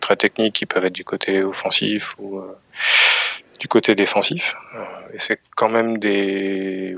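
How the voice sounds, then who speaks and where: The man's fairly low voice comes at a fairly slow pace, dry and close with no echo. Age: 30s. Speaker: cybersecurity company head. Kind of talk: interview. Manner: halting.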